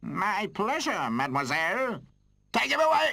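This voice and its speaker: Putting on a character voice, a man speaks at a high pitch with a raised, projected delivery, very wide pitch swings and a moderate pace. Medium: video game. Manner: blustering, authoritative.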